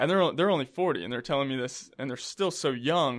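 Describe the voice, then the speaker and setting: A man with an American accent and a fairly high pitch, ordinary pitch variation and a plain, everyday voice, in a very clean recording with a silent background. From South Carolina (Columbia). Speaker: chiropractor. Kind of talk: casual interview. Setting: studio.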